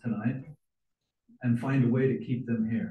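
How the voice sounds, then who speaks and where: With an American accent, a man speaks at a medium pitch in a dark, mellow tone that is somewhat breathy. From Utah. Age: 60s. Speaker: city council member. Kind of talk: public comment at council meeting. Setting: council chamber.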